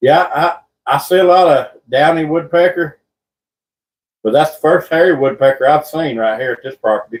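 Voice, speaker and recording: The speaker has a Southern US accent. The delivery moves at a moderate pace. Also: man, fairly high pitch for a man, ordinary pitch variation. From North Carolina. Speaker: birdwatching livestreamer. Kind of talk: casual live stream chat.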